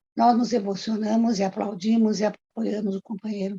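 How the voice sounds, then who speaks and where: Dry and close with no echo, a woman's somewhat breathy voice sits at a fairly high pitch. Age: 70s. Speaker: retired court employee and union activist. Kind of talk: oral history testimony.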